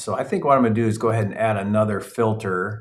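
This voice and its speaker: Speaking at a very fast pace, a man has a fairly low, somewhat breathy voice. His intonation stays fairly even. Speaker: real estate investor and educator. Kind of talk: live training. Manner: casual.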